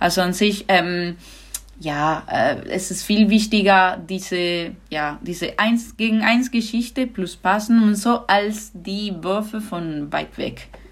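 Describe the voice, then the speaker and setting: With a Spanish accent, a woman speaks very slowly in a somewhat breathy, medium-pitched voice with ordinary pitch variation. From Andalusia, Spain (Granada). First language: Spanish (speaking German). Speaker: handball goalkeeper. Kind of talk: podcast interview.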